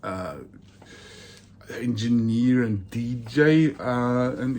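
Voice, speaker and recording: A man's medium-pitched voice with a Norwegian accent. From Norway. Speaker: vinyl collector YouTuber. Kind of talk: casual monologue video. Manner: hesitant, many fillers.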